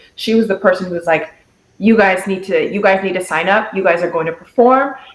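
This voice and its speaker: A woman with an American accent speaks at medium pitch with ordinary pitch variation. Audible room echo surrounds her voice. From Netherlands, then raised in Seattle. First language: Dutch. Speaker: singer in a sister music group. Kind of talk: interview.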